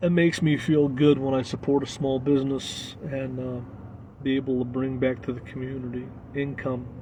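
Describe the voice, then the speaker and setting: Over noticeable background noise, a man with an American accent speaks at a moderate pace in a medium pitch, his intonation monotone and flat. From Arkansas, US South. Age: 40s. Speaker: travel vlogger. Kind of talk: casual live stream chat. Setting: live stream. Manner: halting, many fillers.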